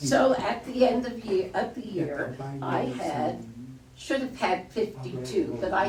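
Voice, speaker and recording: A woman with an American accent speaks at a very slow pace, with audible room echo and noticeable background noise. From New York. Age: 70s. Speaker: local author. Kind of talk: reading aloud.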